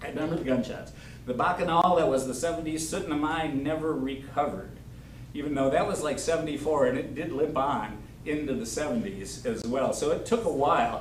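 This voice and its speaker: A man with an American accent and a fairly high pitch is heard with audible room echo and noticeable background noise. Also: ordinary pitch variation, fairly quick pace. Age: 70s. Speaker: local storyteller. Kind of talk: storytelling to a live audience. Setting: senior center with audience.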